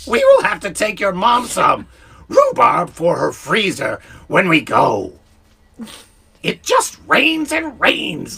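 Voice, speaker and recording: A man puts on a character voice at a high pitch. He talks at a fairly slow pace with long, frequent pauses. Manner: warm, sweet.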